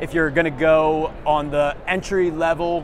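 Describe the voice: A man speaks with a fairly high pitch and little pitch movement. Clear background noise is present.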